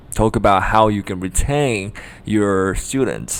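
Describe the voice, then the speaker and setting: This voice speaks at a fairly slow pace with a Japanese accent. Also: man. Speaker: language tutor. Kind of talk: tutorial. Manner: hesitant, many fillers.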